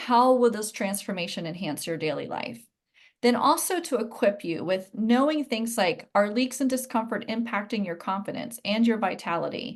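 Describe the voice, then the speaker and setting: Here a woman has an ordinary speaking voice, fairly high in pitch. Her intonation is lively and her pace moderate. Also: quiet background. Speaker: pelvic floor and core specialist, Pilates teacher. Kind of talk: online masterclass lecture. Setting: live video class from home.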